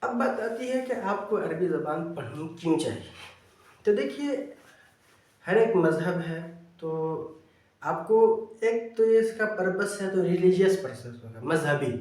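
Lively intonation marks a man's high-pitched voice, heard with audible room echo. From Bihar, India. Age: 20s. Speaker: Arabic teacher and translator. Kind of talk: educational video monologue.

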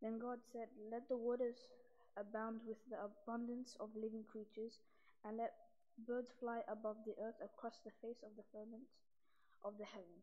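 A woman talks at a moderate pace. Her intonation stays monotone and flat. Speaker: scripture reader. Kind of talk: liturgical scripture reading. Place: church. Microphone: podium.

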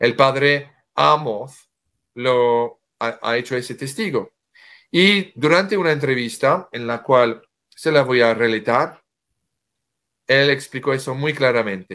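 A man's bright, sharp voice at a very slow pace, with ordinary pitch variation, long, frequent pauses and a quiet background. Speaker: author; guest. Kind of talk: interview. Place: home room. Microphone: video call.

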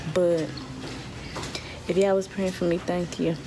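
A woman's fairly slow, monotone, flat delivery over noticeable background noise. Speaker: soldier vlogger. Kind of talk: casual vlog chat. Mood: relieved, grateful. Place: hall. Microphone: phone near.

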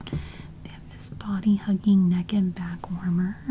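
Soft-spoken at a fairly slow pace, the voice comes over light background noise. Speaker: catalog reviewer. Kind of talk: soft ASMR-style catalog read-through. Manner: soft, hushed ASMR narration.

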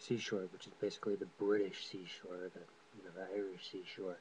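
In an American accent, a man talks fairly quickly at a fairly low pitch. His intonation is monotone and flat. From California. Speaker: vlogger presenting a sociology project. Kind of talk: webcam monologue presentation. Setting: webcam recording. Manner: halting, many fillers.

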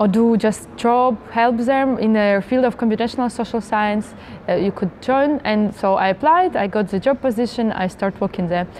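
A woman speaks at a moderate pace with hardly any pauses and ordinary pitch variation. Light background noise can be heard. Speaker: interviewee. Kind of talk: interview answer. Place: hall.

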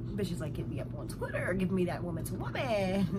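Music can be heard behind the voice. The speaker is a woman. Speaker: vlogger. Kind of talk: casual storytime vlog chat. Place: home room. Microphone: phone near.

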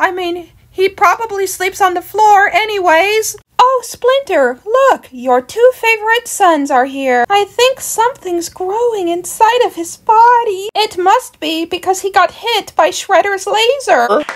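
A woman puts on a squeaky character voice at an extremely high pitch with lively intonation. She goes at a fairly slow pace yet hardly pauses at all. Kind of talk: comic overacting. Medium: fan dub.

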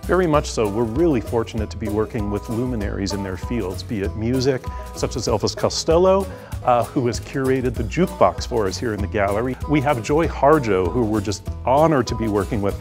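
Clear music plays behind a man who speaks at a fairly quick pace. His pitch is fairly low. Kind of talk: interview answer. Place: hall. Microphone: lapel.

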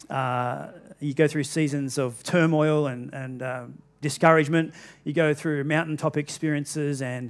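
A male speaker goes at a moderate speed, his intonation monotone and flat. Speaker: pastor. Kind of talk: sermon. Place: church.

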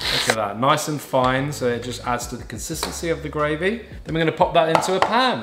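A man's voice amid noticeable background noise. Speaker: home cook host. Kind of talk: cooking tutorial.

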